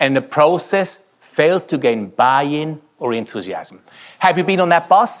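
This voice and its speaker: Speaking at a moderate pace, a man talks with a Swiss German accent. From Switzerland. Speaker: keynote speaker. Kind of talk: keynote speech. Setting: conference stage with audience.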